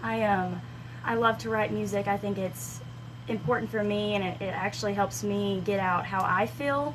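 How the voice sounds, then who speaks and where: With a slight Southern US accent, a woman speaks at a very deep, low pitch that swings very widely, and the room echo is audible. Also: moderate pace. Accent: slight Southern twang. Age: 20s. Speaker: country singer-songwriter. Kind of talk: radio interview. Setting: radio studio.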